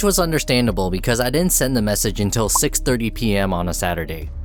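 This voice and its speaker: A man talking very fast with very wide pitch swings, music playing in the background. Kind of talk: personal account narration to camera.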